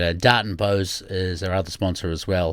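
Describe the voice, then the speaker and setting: The recording is very clean with a silent background. A man with a very deep, low pitch speaks at a moderate pace. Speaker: podcast host. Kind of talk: casual podcast monologue. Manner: hesitant, many fillers.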